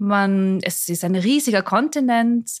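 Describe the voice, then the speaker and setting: A woman speaks at a medium pitch with ordinary pitch variation in an unremarkable speaking voice, recorded dry and close with no echo. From Austria, Mondsee near Salzburg. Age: 40s. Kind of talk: interview. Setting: bar in Salzburg, in person.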